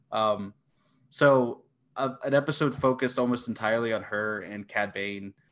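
Speaking at a moderate pace against a quiet background, a man has a plain, everyday voice of medium pitch and ordinary pitch variation. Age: 20s. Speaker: competitive trivia player. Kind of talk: casual chat.

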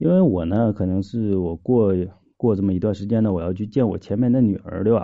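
An unremarkable speaking voice from a man, fairly low in pitch, with ordinary pitch variation and a fairly quick pace. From Shenyang, northeast China. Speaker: caller. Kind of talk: phone-in advice chat.

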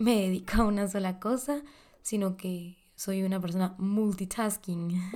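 The speaker is a woman with a medium pitch. Her tone comes across dark and mellow. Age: 20s. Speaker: podcast host. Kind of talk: casual monologue.

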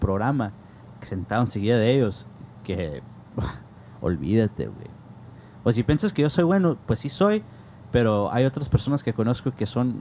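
With a dark, mellow tone, a man talks at a moderate pace and medium pitch with lively intonation. Long, frequent pauses break up his speech. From US Southwest, south Tucson, Arizona, Mexican-American family. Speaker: jazz saxophonist and music educator. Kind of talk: casual interview chat. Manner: animated.

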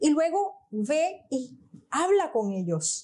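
This woman's voice moves in very wide pitch swings. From Venezuela, Portuguese parents. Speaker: coach. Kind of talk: interview conversation.

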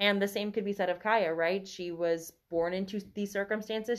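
A woman with an American accent speaks in an ordinary speaking voice at a moderate pace against a quiet background. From US South. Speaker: podcast guest, book reader. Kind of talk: casual book discussion. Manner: laughs often.

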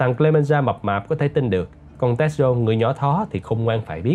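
A man's pitch jumps very widely. He speaks rather quickly. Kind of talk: audiobook narration.

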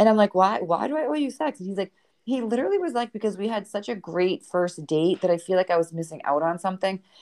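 Talking very fast in a Boston accent, a woman uses lively intonation in a dry, close sound with no echo. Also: medium pitch for a woman. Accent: Boston accent, living in Texas. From Boston, US. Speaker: podcast host. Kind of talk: casual interview chat.

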